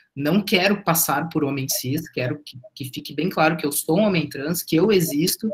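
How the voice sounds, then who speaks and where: A man with a normal speaking voice and a fairly high pitch talks at a moderate pace, with hardly any pauses, ordinary pitch variation and big swings in loudness. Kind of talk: testimony.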